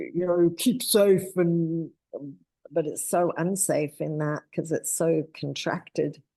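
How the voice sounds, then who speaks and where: A woman's very deep, low voice with a New Zealand accent, a dark, mellow tone, vocal fry and fairly even intonation. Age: 60s. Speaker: spiritual teacher. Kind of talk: casual chat.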